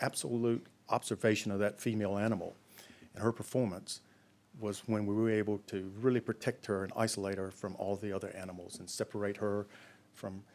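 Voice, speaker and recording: Speaks with an American accent at a fairly quick pace. The intonation stays fairly even. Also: man. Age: 60s. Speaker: pig farmer. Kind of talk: conference talk. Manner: halting, many fillers.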